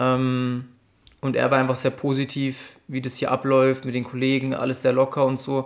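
A man speaks at a medium pitch in a monotone, flat way. The recording is very clean, with a silent background. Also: moderate pace. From Upper Franconia, Bavaria (near Bamberg). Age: 20s. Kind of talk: casual interview chat.

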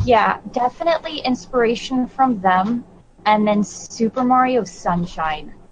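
A woman speaks with fairly high pitch, lively intonation and very even loudness at a fairly slow pace. There is noticeable background noise. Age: 20s. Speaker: video game podcast co-host. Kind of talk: casual chat.

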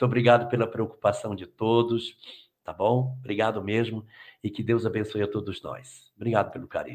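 A man at a moderate pace and medium pitch, monotone and flat in intonation, with a quiet background. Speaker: spiritist lecturer. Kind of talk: live Q&A talk. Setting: video call.

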